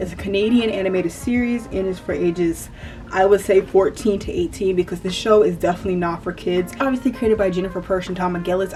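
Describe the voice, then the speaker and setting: Over noticeable background noise, a woman with a slight Southern US accent talks at a very fast pace, at medium pitch and with fairly even intonation. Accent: slight US Southern country. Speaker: YouTuber, TV commentary. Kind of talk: casual TV commentary monologue. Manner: casual, filler-heavy.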